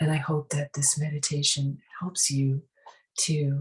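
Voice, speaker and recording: With a calm, soothing tone, a woman speaks at a fairly slow pace in a very deep, low pitch that is somewhat breathy. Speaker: spiritual teacher, meditation guide. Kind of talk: guided meditation. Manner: calm, soothing, slow.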